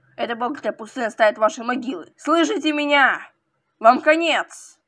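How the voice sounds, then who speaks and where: A woman puts on a character voice at a high pitch. She keeps a moderate pace. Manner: indignant, shouting.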